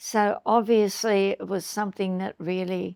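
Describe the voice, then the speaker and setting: With an Australian accent, a woman talks at a very slow pace in a dry, close sound with no echo. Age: 90s. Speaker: eyewitness interviewee. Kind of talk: interview testimony. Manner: halting.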